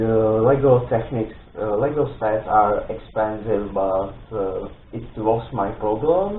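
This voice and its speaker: The speaker has a non-native accent and talks at a very slow pace. Room echo is audible. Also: man. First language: not English. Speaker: Lego build video creator. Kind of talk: product presentation intro. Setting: home studio. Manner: halting, many fillers.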